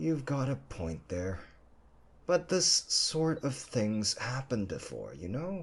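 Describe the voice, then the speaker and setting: Using a gruff, put-on character voice at medium pitch, a man talks at a fairly slow pace with very wide pitch swings. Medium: read story.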